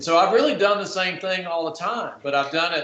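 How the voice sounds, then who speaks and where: A man talks at a fairly quick pace in an unremarkable speaking voice, fairly high in pitch, with ordinary pitch variation. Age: 60s. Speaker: technology marketer, panelist. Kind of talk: panel discussion.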